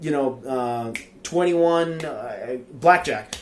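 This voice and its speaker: This is a man talking. He speaks with a non-native accent. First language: not English. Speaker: card game YouTuber. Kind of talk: game card review. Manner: hesitant, many fillers.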